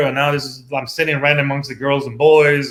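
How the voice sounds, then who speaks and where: The speaker talks at a fairly quick pace with a Persian accent. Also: man. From Iran. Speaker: tech professional turned robotics teacher. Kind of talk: interview. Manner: hesitant, many fillers.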